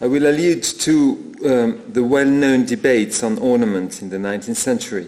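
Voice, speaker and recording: Amid noticeable background noise and audible room echo, a man with a French accent speaks at medium pitch with very wide pitch swings. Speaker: art historian. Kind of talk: lecture. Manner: halting.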